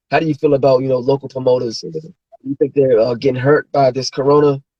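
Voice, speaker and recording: Fairly high in pitch, a man with an unremarkable speaking voice keeps his intonation fairly even. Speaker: interview host. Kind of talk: casual interview host talk.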